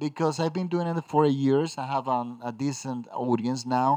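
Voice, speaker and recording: Against a quiet background, a man with a Spanish accent speaks at a moderate pace in a fairly high pitch, with a dark, mellow tone. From Dominican Republic. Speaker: film critic. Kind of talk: solo podcast film review. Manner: halting.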